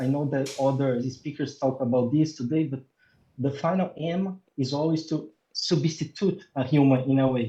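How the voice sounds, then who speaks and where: The voice is somewhat breathy, with a dark, mellow tone. It carries a non-native accent. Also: man, fairly high pitch for a man, fairly even intonation, moderate pace. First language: not English. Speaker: robotics research scientist. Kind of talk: interview. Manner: halting, many fillers and repetitions.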